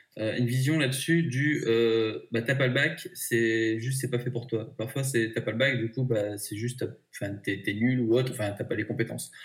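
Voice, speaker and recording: Somewhat breathy speech from a man, moderate pace, fairly even intonation. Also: medium pitch for a man. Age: 30s. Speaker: job seeker. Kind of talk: interview.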